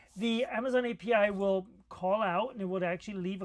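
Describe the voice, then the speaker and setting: Mumbling at a moderate pace, a man speaks with a high pitch. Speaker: cybersecurity commentator. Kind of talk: solo tech commentary. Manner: hesitant, many fillers.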